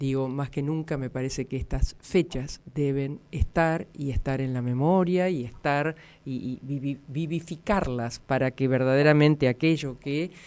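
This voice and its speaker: Woman's very deep, low voice with a dark, mellow tone, a Rosario accent, fairly even intonation and a fairly slow pace. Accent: Argentine Spanish, Rosario. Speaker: radio host. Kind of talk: radio interview.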